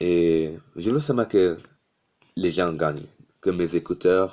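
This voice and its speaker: The voice has a non-native accent and a dark, mellow tone, moving at a very slow pace. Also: man. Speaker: YouTuber. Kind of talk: motivational talk to camera. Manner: halting, with hesitations.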